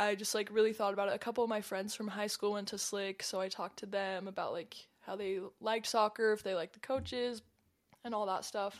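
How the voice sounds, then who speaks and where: Very fast, monotone, flat speech from a woman of medium pitch with an American accent. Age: young. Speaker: college student and soccer player. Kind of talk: casual interview chat. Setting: studio.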